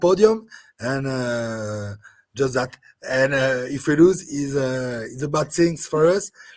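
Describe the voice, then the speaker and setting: Speaking with a French accent, a man talks at a fairly slow pace with lively intonation. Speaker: rugby sevens coach. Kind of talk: interview. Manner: halting.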